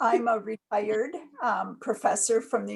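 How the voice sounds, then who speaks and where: Noticeable background noise runs under the recording. A woman speaks over it at a moderate pace. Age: 60s. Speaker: retired professor and nurse. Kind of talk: oral history interview. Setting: video call.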